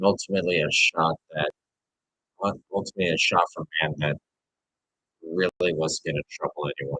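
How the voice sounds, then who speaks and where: With an American accent, a man speaks loud at a moderate pace in a very deep, low pitch, leaving long, frequent pauses, and the sound is dry and close with no echo. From New York. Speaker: sports streamer. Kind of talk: live commentary. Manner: animated.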